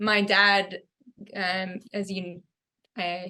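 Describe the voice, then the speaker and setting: A woman with a Californian accent speaks at a medium pitch in a bright, sharp tone, her intonation flat and monotone. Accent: General American (Californian). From US West Coast (Fresno, California). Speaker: fashion designer. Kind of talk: podcast interview.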